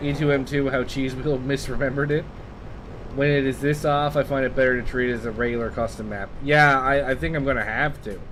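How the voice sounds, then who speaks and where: Noticeable background noise and audible room echo accompany a man of medium pitch speaking fairly quickly with fairly even intonation. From Canada. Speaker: video game streamer. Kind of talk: casual gameplay commentary. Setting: live stream.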